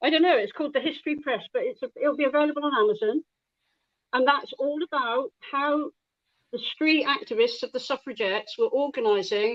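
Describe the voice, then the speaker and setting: With an English accent, a woman talks at a fairly quick pace. Her pitch is high and swings very widely. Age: 60s. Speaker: comic artist. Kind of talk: casual chat.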